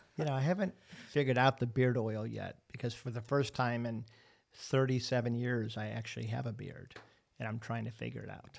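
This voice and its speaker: A man talks at a fairly quick pace with an American accent, his pitch medium and intonation fairly even. His loudness swings a lot, and it is a plain, everyday voice. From Ohio, Cleveland. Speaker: restaurant franchise owner and podcast host. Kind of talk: casual chat.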